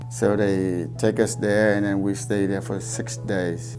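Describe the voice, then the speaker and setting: With music in the background and audible room echo, the speaker uses lively intonation at a moderate pace in a Vietnamese accent. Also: man. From South Vietnam. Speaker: refugee sharing life story. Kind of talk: testimony. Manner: halting.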